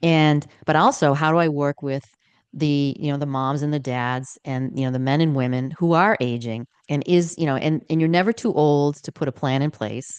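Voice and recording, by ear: This woman speaks at a moderate pace in a low voice whose tone is clear, smooth and slightly mellow. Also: ordinary pitch variation.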